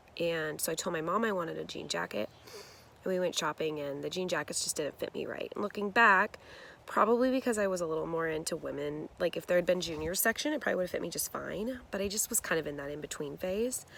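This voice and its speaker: A woman talks at a very fast pace with lively intonation. Her fairly low voice carries vocal fry. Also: very clean recording, silent background. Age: 40s. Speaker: teacher sharing weight-loss journey. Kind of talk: personal testimony vlog. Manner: casual, conversational with fillers.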